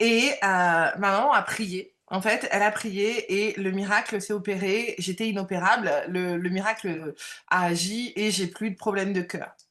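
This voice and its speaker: A woman speaks at a fairly slow pace with a medium pitch and fairly even intonation. The background is quiet. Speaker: medium and coach, former job counselor. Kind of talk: interview. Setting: live video stream. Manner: loud; halting, many fillers.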